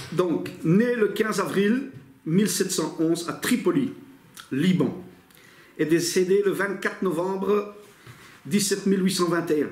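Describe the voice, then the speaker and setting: A man with a high pitch speaks very slowly, with long, frequent pauses, ordinary pitch variation and very even loudness. Audible room echo is present. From Italy. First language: Italian (speaking French). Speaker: bible teacher. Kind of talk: lecture. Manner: casual, with hesitations.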